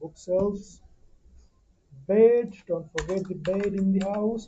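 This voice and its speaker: Very slowly, a woman speaks with a medium pitch and a dark, mellow tone, her somewhat breathy voice held in a monotone, flat intonation. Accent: non-native. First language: not English. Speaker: 3D modeling tutor. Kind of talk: tutorial. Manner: halting, many fillers.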